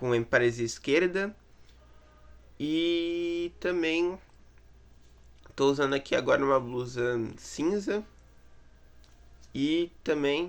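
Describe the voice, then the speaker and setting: Lively intonation marks this man's speech. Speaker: student teaching an online philosophy course. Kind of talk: course introduction talk to camera. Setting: in his bedroom. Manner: halting, many fillers and repetitions.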